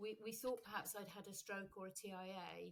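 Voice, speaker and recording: A woman speaks at a fairly quick pace in a medium pitch, her intonation fairly even. Her voice is somewhat breathy. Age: 60s. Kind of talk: interview.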